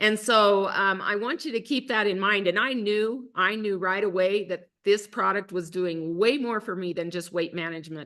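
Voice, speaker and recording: Against a quiet background, a woman speaks at a moderate pace and medium pitch in a bright, sharp tone. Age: 60s. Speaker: wellness product distributor, co-host of webinar. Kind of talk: online presentation / testimony. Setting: online group call. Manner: animated.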